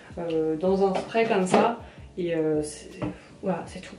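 Audible room echo surrounds a woman as she talks. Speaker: beauty vlogger. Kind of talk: casual vlog chat. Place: bathroom. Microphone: phone near.

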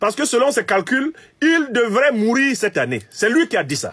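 Here a man with an extremely high pitch and a bright, sharp tone speaks at a moderate pace, his intonation lively and his tone animated, over a quiet background. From Cameroon. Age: 50s. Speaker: political commentator. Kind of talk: political commentary monologue.

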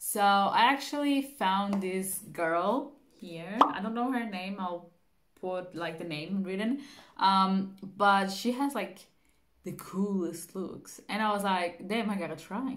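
Ordinary pitch variation accompanies delivery at a very slow pace. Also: woman. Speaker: beauty vlogger. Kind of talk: casual vlog chat. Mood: cheerful, playful. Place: home room. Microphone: phone near.

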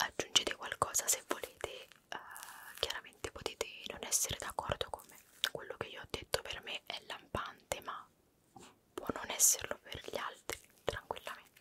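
Whispering and soft-spoken, the speaker leaves long, frequent pauses over light background noise. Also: woman, moderate pace. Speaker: video creator. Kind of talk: casual vlog chat. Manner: soft, close-mic ASMR whisper.

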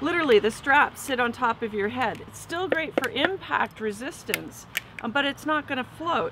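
A woman with a high-pitched voice speaks at a moderate pace, and the sound is dry with no echo over noticeable background noise. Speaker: dive gear instructor. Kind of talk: tutorial. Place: garden.

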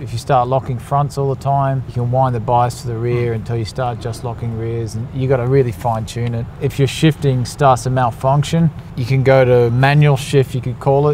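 Monotone and flat, a man talks at a fairly quick pace with hardly any pauses, in a dry sound with no echo and light background noise. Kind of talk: interview answer. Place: garage.

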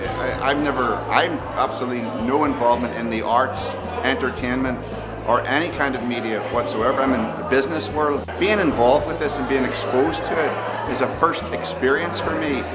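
Over loud music in the background, a man talks at a fairly quick pace. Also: ordinary pitch variation. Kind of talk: interview answer. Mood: enthusiastic. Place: hall.

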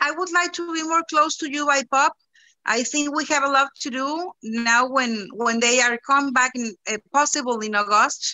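A woman with a high voice speaks at a moderate pace with ordinary pitch variation over a quiet background. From Mexico. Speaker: school recycling coordinator. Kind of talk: casual chat. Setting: video call. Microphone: video call.

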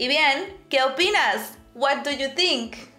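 In a raised, projected voice, a woman speaks at a very slow pace and high pitch, with audible room echo and faint music in the background. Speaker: Spanish teacher. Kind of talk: language lesson to camera. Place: home room.

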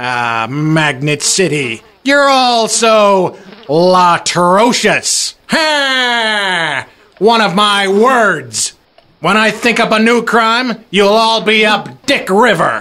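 A man uses a put-on character voice, high in pitch and raised and projected. He cackles at a very slow pace with lively intonation. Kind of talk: comic overacting. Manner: boastful, crude, cackling.

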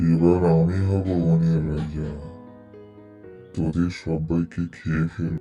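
A man's put-on character voice, very deep and low, very slow and monotone with flat intonation, clear music in the background. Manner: roaring, menacing.

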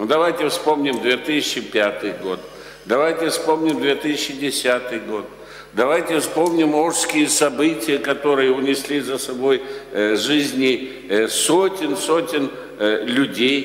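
Delivered at a very slow pace with ordinary pitch variation, the voice carries audible room echo. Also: man. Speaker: professor, council member. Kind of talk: academic question and commentary. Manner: halting. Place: meeting room. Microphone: podium.

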